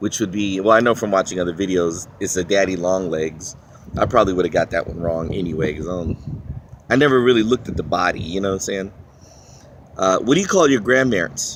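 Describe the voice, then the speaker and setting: Speaking at a very fast pace with a very deep, low pitch, a man shows ordinary pitch variation in a Washington DC accent. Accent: Washington DC, East Coast American. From Philippines. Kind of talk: casual talk to camera. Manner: rambling, hesitant.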